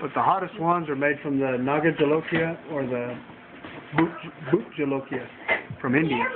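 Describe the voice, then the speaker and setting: Loud background noise sits behind a man talking at a moderate pace. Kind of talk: casual vlog chat. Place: kitchen. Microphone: webcam.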